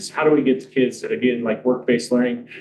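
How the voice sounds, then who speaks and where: Speaking at a very fast pace, a man of medium pitch shows ordinary pitch variation. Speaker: school administrator. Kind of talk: public comment. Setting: school board meeting.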